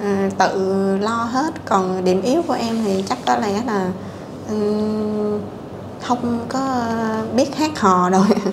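A woman's fairly high voice with ordinary pitch variation, over noticeable background noise. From southern Vietnam (Bình Phước). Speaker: guest seeking a partner, fertilizer and pesticide trader. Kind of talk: casual interview. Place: home room. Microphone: lapel.

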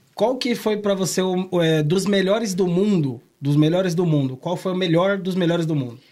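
Delivered at a moderate pace with hardly any pauses, the speech shows ordinary pitch variation. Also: man, high pitch for a man. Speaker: podcast host. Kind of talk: casual chat. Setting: studio. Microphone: studio mic.

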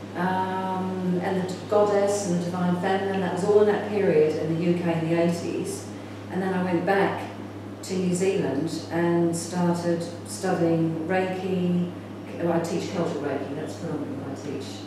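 Strong room echo and noticeable background noise surround a woman speaking at a fairly slow pace. Her pitch is fairly low, with ordinary variation. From England, then New Zealand from age 14. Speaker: spiritual teacher and film director. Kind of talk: conference talk. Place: home room. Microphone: camera far.

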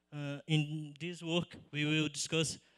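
A man talks at a very slow pace in a bright, sharp tone with monotone, flat intonation. The background is quiet. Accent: Portuguese. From Brazil. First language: Portuguese. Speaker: PhD student; conference presenter. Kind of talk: conference poster pitch. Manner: halting. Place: hall. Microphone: handheld.

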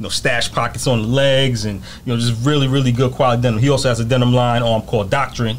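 Very fast, monotone, flat speech from a man with a medium pitch and a New York accent, over light background noise. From New York, Mount Vernon. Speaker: podcast guest. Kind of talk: casual interview. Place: shop. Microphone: studio mic.

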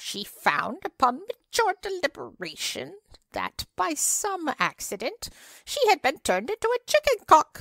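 A loud, female-sounding, put-on character voice at an extremely high pitch moves along at a moderate pace. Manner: loud, indignant, then crowing wildly.

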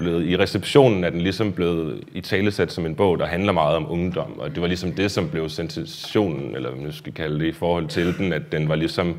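A man speaks at a moderate pace. His pitch is very deep and low. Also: hardly any pauses. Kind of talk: lecture. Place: hall. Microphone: lapel.

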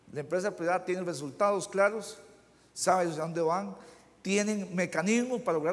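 A man speaks in a high voice with a Costa Rican accent. His pace is moderate and his pitch varies in an ordinary way. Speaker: mayor. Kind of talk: panel discussion. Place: hall. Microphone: lapel.

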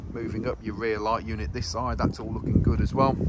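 A man at a fairly quick pace, in a dry sound with no echo, over loud background noise. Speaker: van salesperson. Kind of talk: sales walkaround commentary. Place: street. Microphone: phone near.

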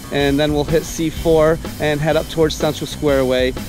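A man's voice with fairly even intonation, dry and echo-free, over clear music in the background. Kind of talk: casual vlog chat. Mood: cheerful, relaxed. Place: street. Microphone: phone near.

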